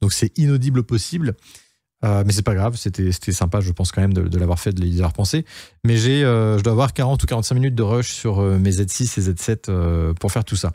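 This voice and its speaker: A man's dark, mellow voice, fairly low in pitch, fairly quick, with lively intonation, on a very clean recording with a silent background. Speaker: photographer and YouTuber. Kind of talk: casual vlog update. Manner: fast; hesitant, many fillers.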